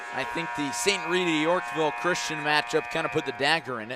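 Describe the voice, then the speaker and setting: The speech moves at a moderate pace with ordinary pitch variation. Noticeable background noise sits behind it. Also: man. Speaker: basketball play-by-play commentator. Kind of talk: live sports broadcast. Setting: gymnasium broadcast booth.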